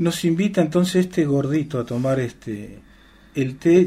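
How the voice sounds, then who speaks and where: The dark, mellow tone of a man at a moderate pace, pitch varying in an ordinary way. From Argentina, Chubut (Patagonia). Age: 50s. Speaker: musician. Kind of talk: radio interview. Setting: radio studio.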